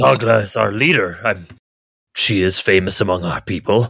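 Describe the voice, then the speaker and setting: A man's put-on character voice, raspy and fairly low, at a moderate pace. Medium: actual play. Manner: hesitant, earnest.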